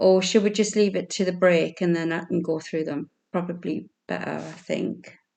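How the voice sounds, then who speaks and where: Monotone, flat speech from a woman at a fairly low pitch, with vocal fry, hardly any pauses and a quiet background. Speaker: quiz host. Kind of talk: online quiz hosting. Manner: slow.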